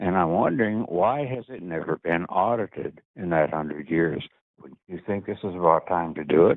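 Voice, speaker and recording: Big swings in loudness mark this man's speech, which has a very deep, low pitch, ordinary pitch variation and a moderate pace. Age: 80s+. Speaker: caller. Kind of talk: question to politician.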